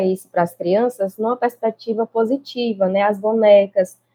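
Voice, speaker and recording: A woman with an unremarkable speaking voice talks at a moderate pace. Her pitch is medium and her intonation fairly even. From Brazilian Northeast. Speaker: early childhood teacher. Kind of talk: interview conversation.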